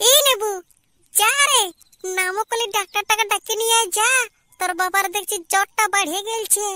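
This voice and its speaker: A woman does a cartoonish character voice at an extremely high pitch, with fairly even intonation and a moderate pace. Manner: sharp, scolding.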